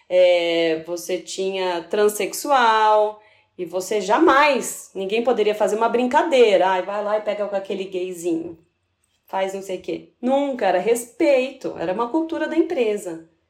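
A woman has a normal speaking voice at a medium pitch. She talks at a fairly slow pace with lively intonation. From São Paulo city, Brazil. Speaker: sales manager, food engineer. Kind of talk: casual interview.

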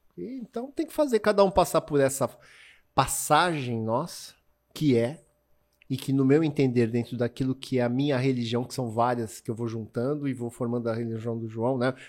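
A man speaks in a normal speaking voice at medium pitch and a moderate pace with ordinary pitch variation. The recording is very clean, with a silent background. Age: 50s. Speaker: water sports event founder. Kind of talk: casual interview chat. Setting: in person studio.

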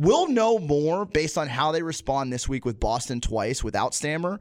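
With lively intonation and a fairly quick pace, a man talks in a normal speaking voice pitched fairly high. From Tampa Bay area, Florida (born in Pittsburgh). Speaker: radio producer and weekend sports radio host. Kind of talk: casual chat. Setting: studio.

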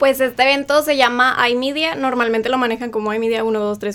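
There is a woman with an ordinary speaking voice. Her pitch is fairly high and her intonation fairly even. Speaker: university student. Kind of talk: radio interview.

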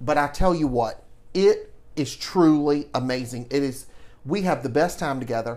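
Speaking with a Southern US accent, a man has a fairly high pitch and ordinary pitch variation. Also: moderate pace. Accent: Southern US (Georgia). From US South, Savannah, Georgia. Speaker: podcast host, lifestyle and etiquette personality. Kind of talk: casual chat.

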